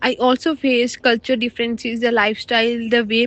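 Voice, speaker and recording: A woman with a Punjabi accent speaks at a high pitch and a fairly quick pace. Her intonation is flat and monotone, and the sound is dry and close with no echo. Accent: Indian Punjabi English. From Punjab, India. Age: 20s. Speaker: international student. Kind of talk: personal story reading.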